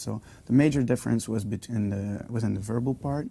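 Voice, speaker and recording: With a Flemish accent, a man speaks at a fairly quick pace in a fairly low voice with a dark, mellow tone. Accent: Belgian (Flemish) English. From Belgium. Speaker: university student. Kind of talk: interview testimony. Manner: hesitant, many fillers.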